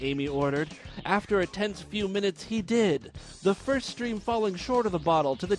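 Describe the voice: Plain reading aloud carries lively intonation.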